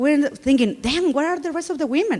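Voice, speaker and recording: A woman with a Spanish accent talks at a moderate pace with ordinary pitch variation, over noticeable background noise. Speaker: conference speaker. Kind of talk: conference talk. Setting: stage with audience.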